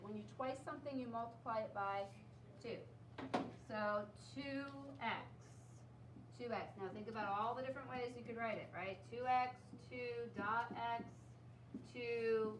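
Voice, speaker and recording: A woman speaks at a moderate pace, leaving long, frequent pauses. Room echo is audible and background noise is noticeable. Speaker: math teacher. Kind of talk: classroom lesson.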